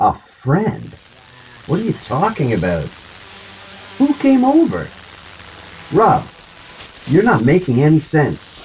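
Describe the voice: Using a put-on character voice, a man speaks at a fairly high pitch with a slightly mellow tone and a husky, rough edge, swinging very widely in pitch at a slow pace with long, frequent pauses.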